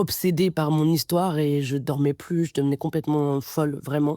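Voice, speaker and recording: A woman's very deep, low voice with a dark, mellow tone and fairly even intonation at a moderate pace, dry and close with no echo, on a very clean recording with a silent background. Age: 20s. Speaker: podcast guest, adoptee sharing her story. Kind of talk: personal testimony. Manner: hesitant, many fillers and repetitions.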